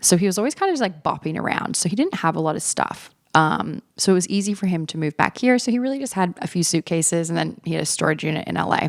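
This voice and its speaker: Very fast and with hardly any pauses, a woman speaks in a fairly low voice with lively intonation. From Australia. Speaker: podcast host. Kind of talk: casual monologue. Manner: conversational, self-correcting.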